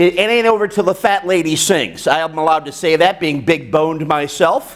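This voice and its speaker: A man speaks loudly with an American accent, at a moderate pace and with ordinary pitch variation. Noticeable background noise runs under his voice. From United States. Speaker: business coach and motivational speaker. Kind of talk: speech to a club meeting.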